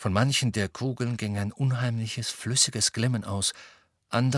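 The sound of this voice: This is an unforced reading voice over a quiet background.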